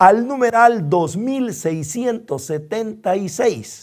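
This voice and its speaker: Over a very clean recording with a silent background, a man speaks very slowly with very wide pitch swings. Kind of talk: bible study lecture.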